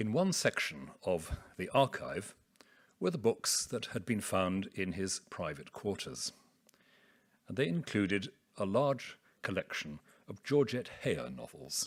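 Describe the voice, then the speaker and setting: Soft-spoken and fairly low-pitched, a man with a British accent talks at a fairly slow pace with vocal fry and very wide pitch swings. He pauses long and often, on a very clean recording with a silent background. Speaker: theologian. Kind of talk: academic lecture.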